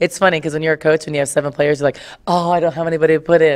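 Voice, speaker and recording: The background is quiet. A woman speaks with a very deep, low pitch. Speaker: basketball coach. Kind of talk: interview answer. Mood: upbeat, smiling. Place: hall. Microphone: podium.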